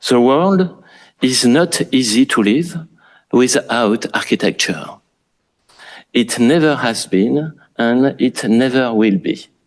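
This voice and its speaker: Delivered at a very slow pace with long, frequent pauses, a man's medium-pitched voice carries lively intonation while his loudness stays very even. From France. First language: French. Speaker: architect. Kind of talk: lecture. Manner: formal.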